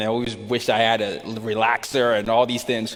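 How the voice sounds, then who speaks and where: A man with an American accent at a medium pitch and moderate pace, over noticeable background noise. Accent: American-sounding. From Nigeria. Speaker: speaker. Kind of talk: interview. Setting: stage with audience.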